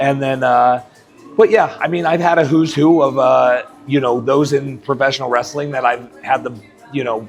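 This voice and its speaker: Music plays in the background as a man with an American accent speaks at medium pitch and a moderate pace, with ordinary pitch variation. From Colorado. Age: 40s. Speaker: professional wrestler. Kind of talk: interview answer. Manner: casual, hesitant.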